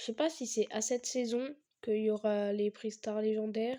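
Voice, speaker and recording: Speaking at a fairly slow pace, a woman uses a monotone, flat intonation, her fairly high pitch carried in a dark, mellow tone. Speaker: gaming youtuber. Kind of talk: gameplay commentary. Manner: halting, many fillers.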